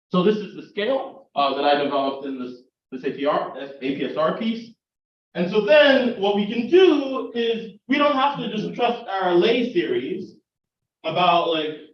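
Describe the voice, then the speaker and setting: Speaking with an American accent, a man uses a high pitch and very wide pitch swings at a moderate pace, with audible room echo around him. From US South, South Carolina. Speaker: political science professor. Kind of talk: lecture. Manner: conversational, frequent fillers and repeats.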